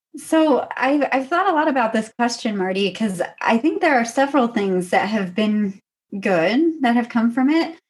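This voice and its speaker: Pitch swings very widely while loudness stays very even, all at a moderate pace. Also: woman, high pitch for a woman. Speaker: doctoral candidate and adjunct professor. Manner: soft-spoken.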